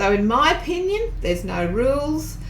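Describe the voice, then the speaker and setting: A woman talks fairly slowly with an Australian accent. Audible room echo and noticeable background noise fill the recording. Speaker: tarot reader and teacher. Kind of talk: tutorial. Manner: casual, conversational.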